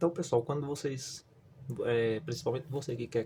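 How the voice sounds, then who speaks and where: The speaker is a man with a northeastern Brazilian accent. His intonation stays fairly even. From Northeast Brazil. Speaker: YouTuber, construction worker. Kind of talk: tutorial. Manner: casual, filler-heavy.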